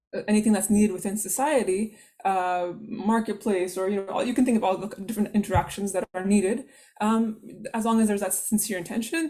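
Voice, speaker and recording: A woman talks at a very fast pace and medium pitch, somewhat breathy. Her tone is dark and mellow, with fairly even intonation. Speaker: workshop presenter on Islamic guidelines. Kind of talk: online workshop lecture.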